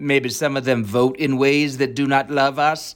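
A man's plain, everyday voice with an American accent, medium in pitch, at a moderate pace. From Virginia, US (Alexandria). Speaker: actor. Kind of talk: casual chat. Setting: video call.

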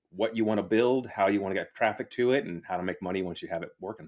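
The recording is very clean, with a silent background. A man with an ordinary speaking voice talks at a fairly quick pace with ordinary pitch variation. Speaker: entrepreneur and affiliate marketer. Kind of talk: casual interview chat.

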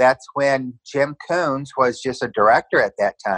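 Dry, close sound with no echo and a man at medium pitch, a plain, everyday voice. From Southern California. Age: 60s. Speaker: interviewee sharing personal story. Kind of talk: testimony.

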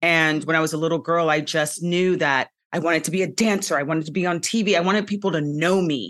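A woman's fairly low, unremarkable speaking voice at a fairly quick pace, with ordinary pitch variation. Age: 50s. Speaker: TV host and former dancer. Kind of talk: casual chat.

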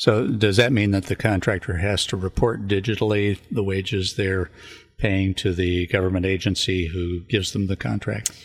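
A somewhat breathy man with a Californian accent, fairly low in pitch, at a moderate pace, with fairly even intonation. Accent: Californian American. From US, California (San Luis Obispo County). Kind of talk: scripted show introduction; radio interview. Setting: radio studio.

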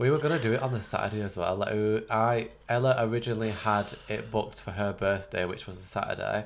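A man with a fairly low pitch talks at a very fast pace, with hardly any pauses and ordinary pitch variation. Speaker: podcast co-host. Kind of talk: casual chat. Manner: animated.

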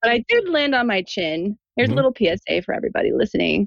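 A woman's voice with vocal fry comes through dry and close, with no echo. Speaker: brain injury survivor, dancer and designer. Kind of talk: casual chat. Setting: remote call.

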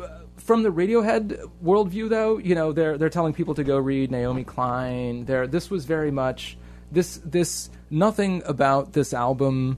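Fairly high male voice with lively intonation at a moderate pace, music playing in the background. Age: 30s. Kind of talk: casual chat.

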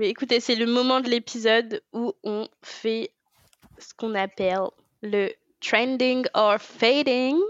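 Very slow speech from a woman, fairly high in pitch with ordinary pitch variation. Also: big swings in loudness. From France. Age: 20s. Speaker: podcast co-host. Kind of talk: casual chat.

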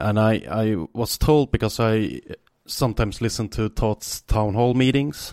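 With a Swedish accent, a man talks at a fairly slow pace and medium pitch, using ordinary pitch variation in a dry, close sound with no echo. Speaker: podcast host. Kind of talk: casual chat.

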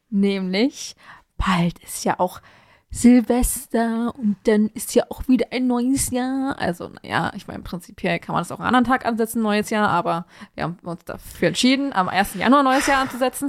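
The recording is very clean, with a silent background and a dry, close sound with no echo. A woman speaks at a moderate pace in a fairly high pitch, with ordinary pitch variation. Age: 20s. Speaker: podcast co-host. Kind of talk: casual chat. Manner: animated.

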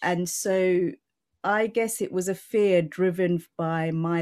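At a very slow pace, a woman speaks with a British accent and ordinary pitch variation. Her tone is dark and mellow, on a very clean recording with a silent background. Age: 40s. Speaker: mental health advocate and CEO. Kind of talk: interview, conversational.

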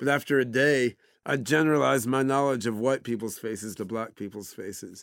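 An unremarkable speaking voice: a man with an American accent talks fairly quickly at a medium pitch with ordinary pitch variation on a very clean recording with a silent background. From US, Oregon. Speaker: AI scientist and entrepreneur. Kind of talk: interview. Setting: studio.

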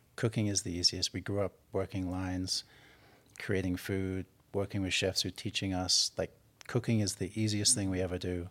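A man's very deep, low, monotone voice at a moderate pace, dry and close with no echo, in a very clean recording with a silent background. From southern England. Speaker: executive chef. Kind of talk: casual interview. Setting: private residence.

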